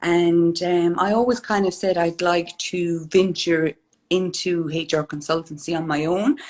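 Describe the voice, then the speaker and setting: A woman with an Irish accent, fairly low pitch, fairly even intonation and a fairly slow pace. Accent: Irish, clearly noticeable. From Ireland, County Kerry. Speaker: HR consultant, business owner. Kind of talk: live interview.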